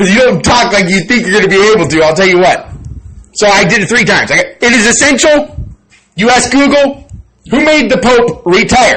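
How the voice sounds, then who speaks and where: A man speaks at an extremely high pitch, fairly quickly, in an animated tone. His intonation is lively and his loudness very even. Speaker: channel owner vlogger. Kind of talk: personal monologue.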